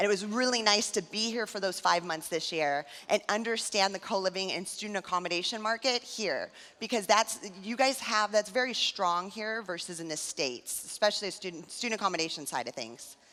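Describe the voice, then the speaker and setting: A woman's bright, sharp tone with an American accent, medium pitch, ordinary pitch variation and a fairly quick pace. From California. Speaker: tech startup founder. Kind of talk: conference talk. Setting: stage with audience. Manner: fast.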